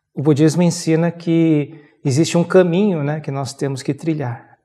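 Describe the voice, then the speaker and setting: A man's fairly high voice in a Brazilian accent, dark and mellow, fairly slow, with fairly even intonation and a quiet background. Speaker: Buddhism teacher. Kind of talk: interview. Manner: halting. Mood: calm, measured explanation. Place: studio. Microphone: lapel.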